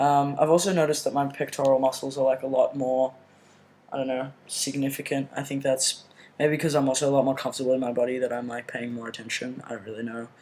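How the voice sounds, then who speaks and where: A man at medium pitch, very fast pace, fairly even intonation. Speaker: video blogger. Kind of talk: personal video update. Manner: casual, many fillers.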